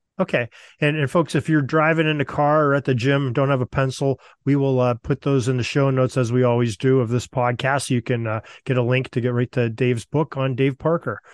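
A man with a normal speaking voice at a medium pitch, a fairly quick pace and very even loudness, in a dry, close sound with no echo and a quiet background. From Western Pennsylvania. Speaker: sports history podcast host. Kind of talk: interview.

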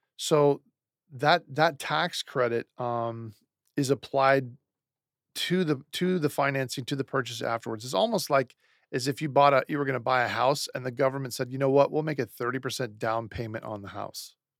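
A man speaks in an unremarkable speaking voice with an American accent, at a medium pitch with ordinary pitch variation and a moderate pace. The sound is dry and close with no echo, on a very clean recording with a silent background. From US Pacific Northwest, Seattle. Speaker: solar advisor. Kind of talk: radio interview.

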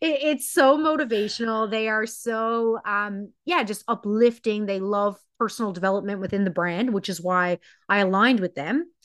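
Against a quiet background, a woman with a fairly high pitch speaks at a moderate pace in a plain, everyday voice, with ordinary pitch variation. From Newfoundland, Canada. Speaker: hairstylist turned psychological safety coach. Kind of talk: interview conversation.

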